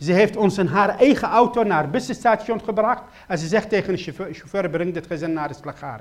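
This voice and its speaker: Speaking at a fairly quick pace, a man has lively intonation. His voice is high. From Iraq. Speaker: preacher giving his testimony. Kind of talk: sermon. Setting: church gathering. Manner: halting.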